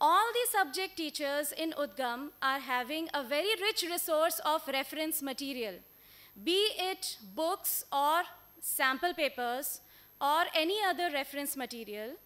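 The tone is bright and sharp. The intonation is lively. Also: woman, high pitch for a woman. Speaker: presenter. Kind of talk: conference presentation. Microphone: podium.

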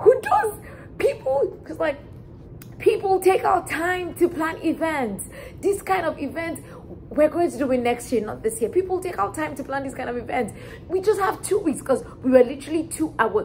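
A woman with an extremely high pitch makes very wide pitch swings and big swings in loudness over light background noise. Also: moderate pace. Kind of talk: storytelling vlog. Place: home room. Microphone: camera far.

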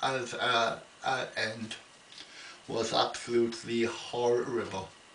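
A man talks at a medium pitch in a monotone, flat delivery. Noticeable background noise sits behind him. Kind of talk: casual talk to camera. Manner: slow, halting.

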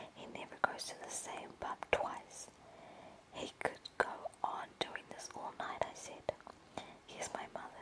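Whispered words come fairly slowly through noticeable background noise. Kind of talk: audiobook-style narration of a short story, first-person boy narrator. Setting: lying in bed at home, webcam-style recording.

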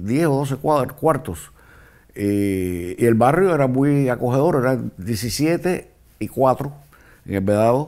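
A man talks at a very slow pace. His intonation is lively. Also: quiet background. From Cuba, Havana. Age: 70s. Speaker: former political prisoner. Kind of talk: interview testimony. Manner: halting, with repetitions. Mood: calm, reminiscing. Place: studio. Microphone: lapel.

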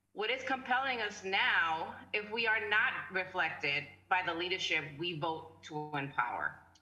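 A woman with an American accent speaks at medium pitch and a fairly slow pace, with lively intonation and hardly any pauses. Light background noise and audible room echo are present. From US Northeast city. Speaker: panel moderator, council chair. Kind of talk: panel discussion. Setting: video call. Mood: earnest, advocating. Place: home room. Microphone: video call.

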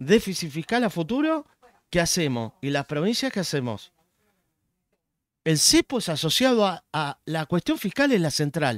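Against a quiet background, a man with a Rioplatense accent speaks at a fairly slow pace in a high pitch with very wide pitch swings, the sound dry with no echo. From Argentina. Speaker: economist; guest. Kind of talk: casual chat. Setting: live stream. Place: home room. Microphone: studio mic.

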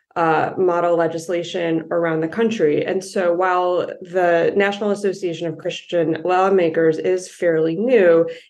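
A woman speaks in a normal speaking voice with fairly low pitch. Her intonation is fairly even and her pace is moderate. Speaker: policy advocate. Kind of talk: interview.

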